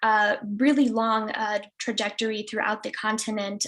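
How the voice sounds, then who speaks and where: The speaker is a woman with a fairly high pitch. Noticeable background noise can be heard. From Chicago (Pilsen, Mexican-American neighborhood). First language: Spanish. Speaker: restorative justice educator. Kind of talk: presentation. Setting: video call. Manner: many fillers (um, uh).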